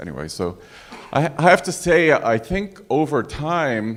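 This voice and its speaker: The speaker is a man with a New York accent. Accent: New York American English. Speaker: physician, audience member. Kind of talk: panel discussion audience comment.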